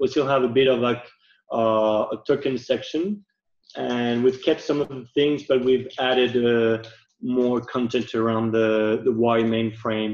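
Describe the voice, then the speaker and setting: Speech comes at a fairly slow pace with fairly even intonation, audible room echo and a quiet background. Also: man. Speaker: UI designer. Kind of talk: product demo presentation. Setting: video call. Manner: hesitant, many fillers. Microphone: video call.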